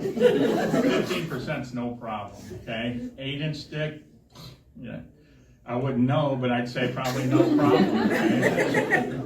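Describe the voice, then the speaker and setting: A man at medium pitch, very slow pace and big swings in loudness, with audible room echo and noticeable background noise. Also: ordinary pitch variation. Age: 60s. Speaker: stand-up comedian. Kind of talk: stand-up. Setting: stage with audience. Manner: halting.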